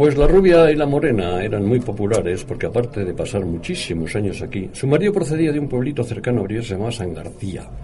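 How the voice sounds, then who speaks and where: A man speaks very fast at a medium pitch, with very wide pitch swings and hardly any pauses. Audible room echo and noticeable background noise surround his voice. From Spain, Bilbao. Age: 80s+. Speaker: retired computer engineer. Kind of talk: radio talk show.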